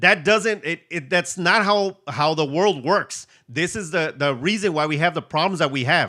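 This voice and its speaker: A high-pitched man with a bright, sharp, animated tone, at a moderate pace with ordinary pitch variation, in a very clean recording with a silent background. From USA, Mexican-American family. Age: 40s. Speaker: reseller and online seller. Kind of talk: live stream Q&A.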